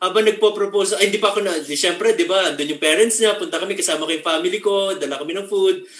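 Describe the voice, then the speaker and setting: A loud, high-pitched man at a very fast pace with hardly any pauses, ordinary pitch variation and noticeable background noise. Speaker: blind motivational speaker and show host. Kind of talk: casual chat. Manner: talkative.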